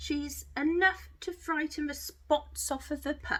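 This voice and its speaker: The female speaker puts on a character voice. Her pace is fairly slow. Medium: read story.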